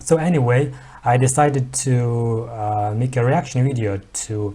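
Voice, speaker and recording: In a Mongolian accent, a man speaks at medium pitch with fairly even intonation. His tone is dark and mellow, and somewhat breathy. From Mongolia, Ulaanbaatar. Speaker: YouTuber. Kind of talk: reaction video commentary. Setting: at home. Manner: hesitant, many fillers.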